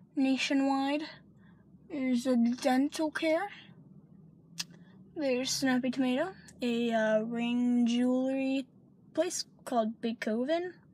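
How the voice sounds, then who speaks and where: Very slow speech with long, frequent pauses and ordinary pitch variation comes through a dry sound with no echo. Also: woman, high pitch for a woman. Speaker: vlogger. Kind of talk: casual vlog chat. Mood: relaxed, a bit hushed. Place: car. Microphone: phone near.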